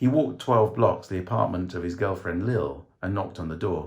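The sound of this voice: A low male voice with a slightly mellow tone, ordinary pitch variation and a moderate pace.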